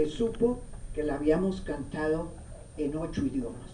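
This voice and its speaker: A woman speaks at a fairly low pitch over noticeable background noise. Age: 80s+. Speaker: social historian and activist. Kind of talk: seminar lecture to an audience.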